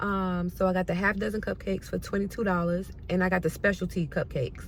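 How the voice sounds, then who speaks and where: The delivery is monotone and flat, at a fairly quick pace. The voice sounds somewhat breathy. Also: woman. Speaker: lifestyle vlogger. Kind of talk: casual vlog talk. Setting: at home. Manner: stutters.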